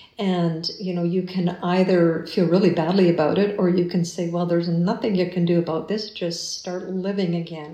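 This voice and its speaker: A woman's fairly low voice with a Canadian accent, fairly even intonation, a moderate pace, hardly any pauses, audible room echo and noticeable background noise. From Canada, Winnipeg. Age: 50s. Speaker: retired teacher and musician. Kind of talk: interview.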